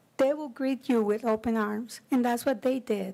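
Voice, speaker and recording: A woman's high voice with a strong Spanish accent and ordinary pitch variation, in a very clean recording with a silent background. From Costa Rica. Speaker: committee member, community volunteer. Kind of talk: public meeting remarks.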